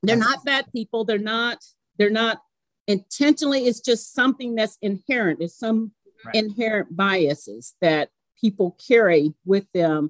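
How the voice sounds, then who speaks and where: An unremarkable speaking voice moves at a moderate pace with lively intonation, its sound dry and close with no echo. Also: woman, fairly high pitch for a woman. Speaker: mortgage banker. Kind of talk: casual interview.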